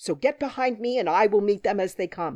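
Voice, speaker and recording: A woman growls in a put-on character voice at a medium pitch. She goes at a fairly quick pace with lively intonation. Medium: read story.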